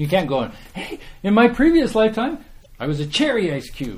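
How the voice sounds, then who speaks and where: A man's animated voice in a Canadian prairie accent, with very wide pitch swings. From Saskatchewan, Canada. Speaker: meditation teacher. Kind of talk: dharma talk.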